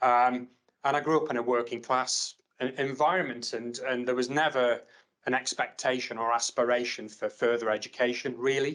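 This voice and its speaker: Here a man speaks in a Potteries accent at a moderate pace. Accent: Potteries (Staffordshire) English. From Stoke-on-Trent, Staffordshire, England. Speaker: university academic. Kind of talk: panel discussion.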